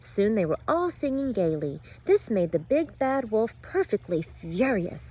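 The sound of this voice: The voice heard here is an unforced reading voice. That is the whole description.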